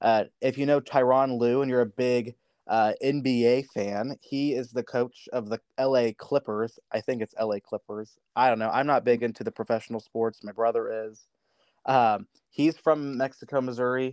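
A normal speaking voice with an American accent comes at a moderate pace and fairly even intonation, dry and close with no echo over a quiet background. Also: man, medium pitch for a man. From US Midwest. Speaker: youth organization officer. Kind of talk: interview.

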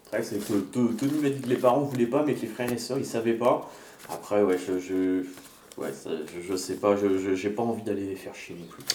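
Delivered at a moderate pace with ordinary pitch variation, the speech shows big swings in loudness amid noticeable background noise and audible room echo. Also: man, fairly low pitch for a man. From France, Sarthe (near Le Mans). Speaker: documentary podcast host. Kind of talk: scripted narration.

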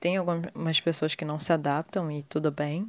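This woman's very deep, low voice holds a fairly even intonation. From Rio de Janeiro, Brazil. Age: 30s. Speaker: listener sharing experience. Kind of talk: testimony.

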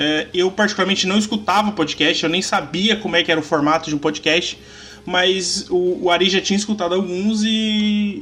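The man's voice sits at a high pitch, and he keeps a moderate pace. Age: 30s. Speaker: podcaster and card game content creator. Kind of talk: casual chat.

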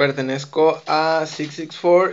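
A man is talking. His intonation is fairly even. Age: 20s. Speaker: street dance teacher. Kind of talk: casual chat.

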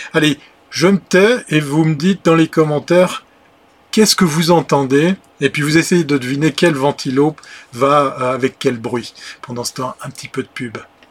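At a fairly slow pace, the voice shows ordinary pitch variation and big swings in loudness, with a dry, close sound and no echo. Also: man. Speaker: livestream show host. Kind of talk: casual live chat with viewers. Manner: chatty, frequent hesitations.

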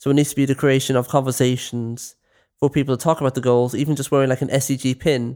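With a Dublin accent, a man speaks very fast in a medium pitch, his tone dark and mellow and his intonation flat and monotone. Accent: Dublin Irish. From West Dublin, Ireland. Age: young. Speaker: youth volunteer. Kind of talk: casual chat.

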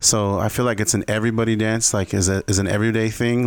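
An American accent, monotone and flat in intonation, at a fairly quick pace on a very clean recording with a silent background. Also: man. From Southern California, Coachella Valley. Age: 30s. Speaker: dancer and event host. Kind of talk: casual interview chat.

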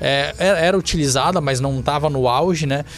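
A man talks at a fairly quick pace. Noticeable background noise runs beneath his speech. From Santa Catarina, Brazil (Balneário Camboriú). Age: 30s. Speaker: city councillor. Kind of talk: podcast interview.

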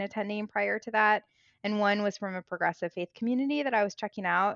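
With an American accent, a woman speaks at a medium pitch with ordinary pitch variation. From US Midwest, Springfield, Illinois. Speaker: writer and educator. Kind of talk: casual interview chat.

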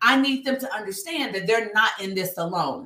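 A woman speaks loudly at a fairly high pitch in a bright, sharp tone. Her delivery is animated. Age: 50s. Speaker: speaker and nonprofit founder. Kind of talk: casual interview.

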